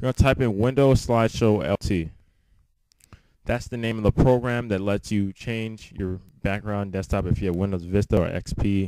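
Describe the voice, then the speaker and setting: At a moderate pace, a man talks in a fairly low voice with fairly even intonation. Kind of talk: casual screen-recording tech tutorial. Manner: casual, hesitant with many fillers.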